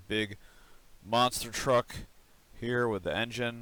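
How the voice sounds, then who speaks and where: A man talks at a very slow pace in a bright, sharp tone. The recording is very clean, with a silent background. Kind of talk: toy review, casual talk to camera.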